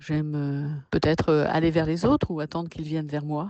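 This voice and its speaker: A woman speaks in a very deep, low pitch. Her intonation is monotone and flat. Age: 60s. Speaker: artist and workshop leader. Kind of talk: personal interview. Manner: hesitant, many fillers.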